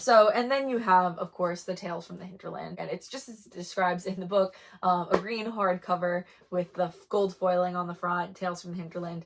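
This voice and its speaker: Her medium-pitched voice moves at a fairly quick pace as this woman speaks. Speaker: book reviewer. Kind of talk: casual chat. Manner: fast; animated.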